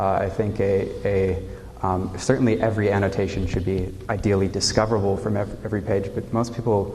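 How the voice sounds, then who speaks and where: Through noticeable background noise and audible room echo, a man with a fairly low pitch talks at a fairly quick pace. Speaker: conference speaker. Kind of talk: conference talk. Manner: hesitant, many fillers; loud.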